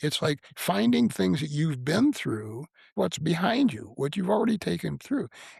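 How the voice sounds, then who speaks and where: A man with an American accent and a fairly high pitch uses vocal fry and very wide pitch swings at a moderate pace. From US Midwest, north central Illinois. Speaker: author and Marine veteran. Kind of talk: podcast interview. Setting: home basement studio. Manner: halting, repeats words.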